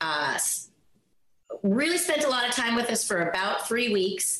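Speaking in an American accent, a woman moves through very wide pitch swings at a fairly slow pace, with long, frequent pauses, very even loudness and audible room echo. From Washington State, island near Seattle. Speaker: former cheerleader and actor. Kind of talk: interview storytelling.

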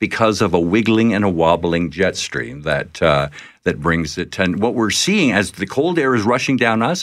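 A man with a Canadian accent talks at a moderate pace with vocal fry. His pitch swings very widely. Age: 70s. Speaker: climatologist. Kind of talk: interview. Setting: studio.

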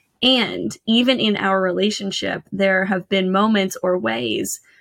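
At a fairly slow pace, a woman speaks in a normal speaking voice at medium pitch with ordinary pitch variation. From Canada. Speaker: financial educator. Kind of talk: casual interview chat.

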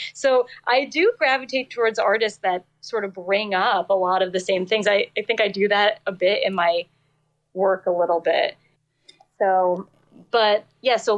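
A woman with an unremarkable speaking voice and an American accent speaks at a moderate pace and medium pitch with fairly even intonation. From New Jersey. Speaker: singer-songwriter. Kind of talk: casual interview chat.

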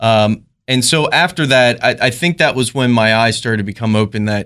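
Speaking with a Maryland accent, a man at a medium pitch moves at a fairly quick pace with ordinary pitch variation. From rural Maryland. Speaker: police officer.

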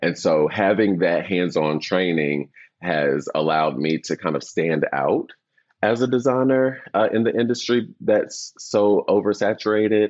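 Fairly low in pitch, a man with an ordinary speaking voice talks at a fairly slow pace. His intonation is lively and his loudness very even. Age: 30s. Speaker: interior designer. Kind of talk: casual interview.

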